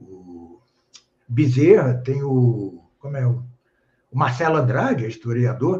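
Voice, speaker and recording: A man with a medium pitch and a dark, mellow tone talks at a very slow pace with lively intonation, a somewhat breathy quality, long and frequent pauses, and audible room echo. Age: 70s. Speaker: professor and author. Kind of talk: casual interview on a live stream. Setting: online live stream. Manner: hesitant, many fillers.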